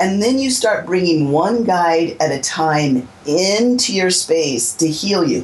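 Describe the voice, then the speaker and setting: Very slow speech with hardly any pauses, very wide pitch swings and very even loudness, over noticeable background noise. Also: woman, fairly low pitch for a woman. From Southern California. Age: 50s. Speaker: psychic healer and teacher. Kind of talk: interview.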